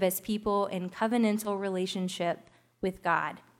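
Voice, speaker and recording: A woman speaks at a moderate pace in a plain, everyday voice, fairly high in pitch, on a very clean recording with a silent background. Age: 20s. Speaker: pastor. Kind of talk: sermon.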